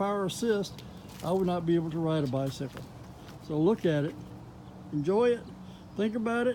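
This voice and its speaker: A man with a high pitch and a dark, mellow tone speaks at a moderate pace with lively intonation, taking long, frequent pauses. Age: 70s. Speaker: product reviewer. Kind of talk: product review. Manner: casual, with filler words.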